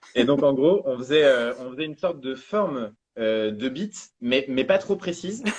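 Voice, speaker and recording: Using a plain, everyday voice, a man with a fairly high pitch talks at a moderate pace with lively intonation. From northern France. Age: 20s. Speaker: calligrapher. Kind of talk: casual chat. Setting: live stream interview.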